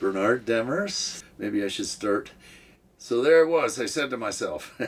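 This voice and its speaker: In an American accent, a man speaks with an ordinary speaking voice. His pace is fairly slow and his intonation lively. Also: medium pitch for a man. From California, Bridgeport (eastern Sierra), Quebec-born family. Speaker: interviewee in a documentary. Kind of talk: interview storytelling. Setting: home bedroom in mobile home.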